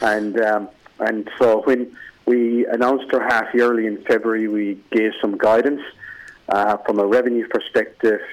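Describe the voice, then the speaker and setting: A man's medium-pitched voice with monotone, flat intonation. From Ireland. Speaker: business founder and executive. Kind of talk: radio interview. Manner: slow, deliberate delivery.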